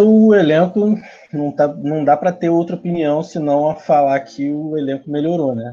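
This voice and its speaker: Dark and mellow in tone, a man's voice moves at a fairly slow pace with ordinary pitch variation. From Brazil, Rio de Janeiro city. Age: 20s. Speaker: football fan. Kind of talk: casual chat.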